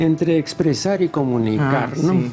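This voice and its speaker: A man's fairly high pitch and lively intonation at a fairly slow pace, with music in the background. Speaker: TV interviewer, intellectual. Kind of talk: interview question.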